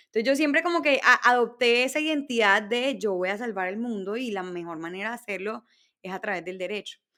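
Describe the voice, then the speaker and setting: On a very clean recording with a silent background, a woman speaks at a fairly high pitch and a fairly quick pace. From Colombia, Barranquilla (Caribbean coast). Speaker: entrepreneur. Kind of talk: interview.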